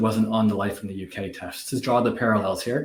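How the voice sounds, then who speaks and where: A man speaks with a fairly low pitch and a somewhat breathy voice. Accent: Canadian. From Canada. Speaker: business executive. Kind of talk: casual interview chat. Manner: hesitant, many fillers.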